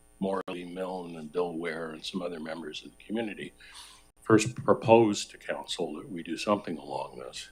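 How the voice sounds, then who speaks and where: Music in the background behind a man's very deep, low voice, moving at a moderate pace. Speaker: resident speaking at public participation. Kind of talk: public comment at council meeting.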